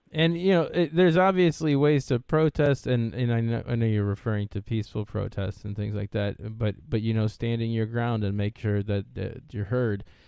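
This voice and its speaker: A man with an unremarkable speaking voice and a medium pitch uses lively intonation. He keeps a moderate pace with hardly any pauses. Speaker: podcast host. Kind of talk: casual interview.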